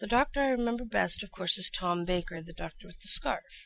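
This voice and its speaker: A woman speaks in a normal speaking voice, fairly high for a woman, at a fairly quick pace. Her intonation is lively. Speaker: voice actor. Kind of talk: casual recorded interview.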